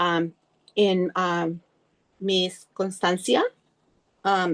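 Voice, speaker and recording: Her delivery flat and monotone, a woman at medium pitch speaks at a very slow pace in a dry, close sound with no echo. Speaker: early childhood educator, training participant. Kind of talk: group report-back in online training. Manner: hesitant, many fillers.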